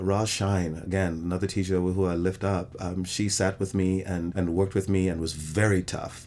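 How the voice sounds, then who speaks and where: A man with a very deep, low pitch speaks in a monotone with flat intonation at a moderate pace and hardly any pauses. The recording is very clean, with a silent background. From Trinidad, raised in England and New York. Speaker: theater actor and director. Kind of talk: interview.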